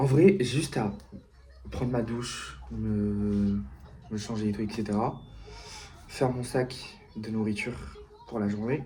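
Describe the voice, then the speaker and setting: This soft-spoken man talks at a fairly slow pace, stopping often for long pauses. Room echo is audible. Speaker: vlogger. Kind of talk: vlog.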